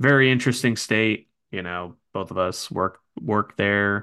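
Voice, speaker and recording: A man with an American accent speaks in a very deep, low pitch with a bright, sharp tone over a quiet background. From North Jersey, US. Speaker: podcast host. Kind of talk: casual chat.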